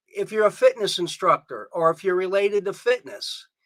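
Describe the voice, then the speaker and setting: The tone comes across bright and sharp. It is a raised voice, projected outward. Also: man. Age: 50s. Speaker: guest. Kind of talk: live stream tutorial.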